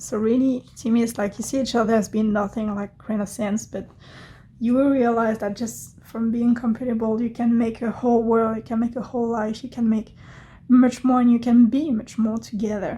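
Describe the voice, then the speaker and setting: At a moderate pace, a woman with a non-native accent talks in a fairly high pitch with monotone, flat intonation. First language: not English. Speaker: tarot reader. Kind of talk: tarot reading. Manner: hesitant, with fillers.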